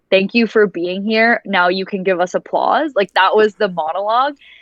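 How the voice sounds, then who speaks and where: A woman talks with a plain, everyday voice, moving at a moderate pace and showing ordinary pitch variation. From Canada, raised in Dubai. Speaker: voice actor. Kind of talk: interview answer.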